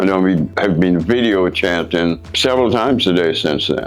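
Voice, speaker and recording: Noticeable background noise sits under a man's very deep, low voice, delivered at a moderate pace with ordinary pitch variation. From Guyana. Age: 70s. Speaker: foreign dating client. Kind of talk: interview testimony.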